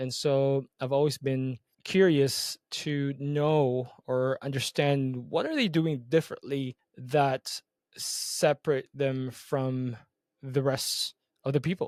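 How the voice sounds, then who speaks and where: A man talks at a very slow pace in a monotone with flat intonation. His pitch is fairly high, and the sound is dry and close with no echo. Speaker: podcast host, marketing agency owner. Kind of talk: casual podcast monologue. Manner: hesitant, many fillers.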